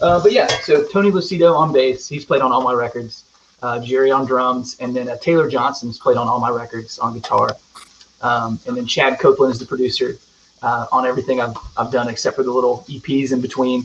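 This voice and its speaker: A man with a Southern accent, medium in pitch, at a fairly quick pace with ordinary pitch variation. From US South, rural North Carolina. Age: 30s. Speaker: singer-songwriter. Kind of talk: casual chat.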